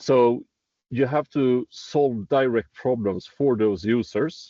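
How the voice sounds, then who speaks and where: Speaking very slowly in a strong Swedish accent, a man with a medium pitch keeps his loudness very even, with ordinary pitch variation. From Sweden. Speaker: startup executive in construction tech. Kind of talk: interview. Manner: halting, with many repeated words.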